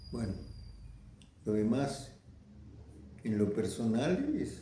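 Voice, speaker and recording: The speech moves at a very slow pace. Audible room echo is present. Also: man. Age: 90s. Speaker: veteran communist activist. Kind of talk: interview testimony. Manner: halting.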